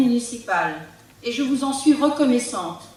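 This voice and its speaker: A woman talks at a moderate pace in a high pitch, with ordinary pitch variation. Audible room echo and noticeable background noise fill the recording. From Brittany, France (Côtes d'Armor). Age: 60s. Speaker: local politician, retired teacher. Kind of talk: political campaign speech. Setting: public meeting hall with audience. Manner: formal.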